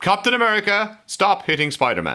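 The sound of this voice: Swinging very widely in pitch, a man speaks at a fairly quick pace with a high pitch and a bright, sharp tone.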